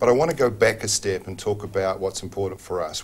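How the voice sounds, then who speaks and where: A man with a New Zealand accent speaks at a fairly quick pace. His voice is somewhat breathy and fairly low in pitch. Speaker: telecom executive. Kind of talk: TV interview.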